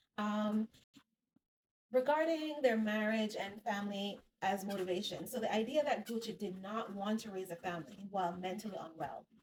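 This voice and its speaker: A woman speaks at a moderate pace with a medium pitch. Her voice is somewhat breathy. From Jamaica. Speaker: psychotherapist. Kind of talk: casual talk to camera. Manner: walking on treadmill while talking.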